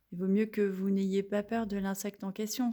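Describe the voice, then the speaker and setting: A woman speaks at a moderate pace with a dark, mellow tone, medium pitch, and monotone, flat intonation. The recording is very clean, with a silent background. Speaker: holistic therapist. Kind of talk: casual demonstration video. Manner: hesitant, many fillers.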